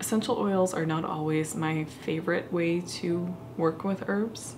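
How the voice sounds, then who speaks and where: A woman speaks at a fairly slow pace in a fairly low pitch, her intonation fairly even, with noticeable background noise behind her. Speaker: crafting vlogger. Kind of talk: casual vlog chat. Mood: thoughtful, slightly unsure. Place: home room.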